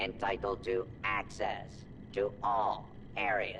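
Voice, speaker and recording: A man talks in a put-on character voice, fairly low in pitch and at a fairly slow pace. Loud background noise runs under him. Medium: video game. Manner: formal, precise.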